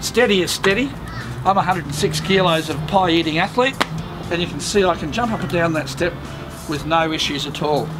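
A man speaking at a fairly quick pace with ordinary pitch variation, clear music in the background. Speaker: caravan salesman. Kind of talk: product demonstration tutorial. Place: street. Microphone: camera far.

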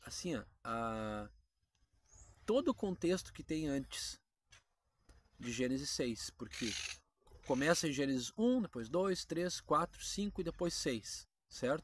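The sound is dry and carries no echo. A man talks very slowly. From Brazil. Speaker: Bible teaching YouTuber. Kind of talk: casual Bible teaching monologue. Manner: conversational, informal. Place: garden. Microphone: phone near.

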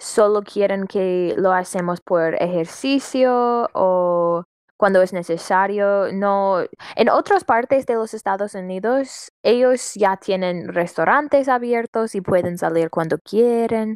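With an English accent, a woman at a fairly high pitch speaks at a very slow pace on a very clean recording with a silent background. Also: dry, close sound with no echo. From US, Washington state. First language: English (speaking Spanish). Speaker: customer service worker, Spanish learner. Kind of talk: casual conversation practice. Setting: internet call. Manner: halting.

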